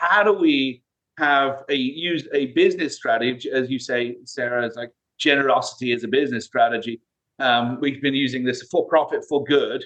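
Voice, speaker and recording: This man's voice sits fairly high, and he has a British accent. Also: ordinary pitch variation, moderate pace. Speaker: CEO of a recruiting firm. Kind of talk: interview. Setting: video call.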